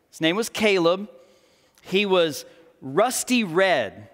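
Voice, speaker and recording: A man at a high pitch with a Texan accent, very slow pace and ordinary pitch variation. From Texas Panhandle. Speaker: pastor. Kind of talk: sermon. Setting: church.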